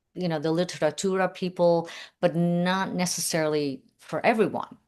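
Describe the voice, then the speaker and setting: Against a quiet background, someone with a non-native accent speaks at a moderate pace with fairly even intonation. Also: woman, fairly low pitch for a woman. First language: not English. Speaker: book prize organizer, interviewer. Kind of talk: casual interview conversation.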